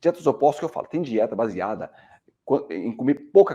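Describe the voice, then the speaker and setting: The voice has a dark, mellow tone, lively intonation and vocal fry. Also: man. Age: 50s. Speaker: medical doctor. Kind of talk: educational talk. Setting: screen-shared video presentation.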